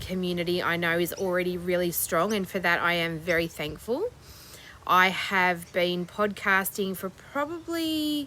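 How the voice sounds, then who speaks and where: This woman has an Australian accent and a fairly low pitch. Her tone is bright and sharp, and her pace is fairly slow. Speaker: crochet vlogger. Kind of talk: casual chat.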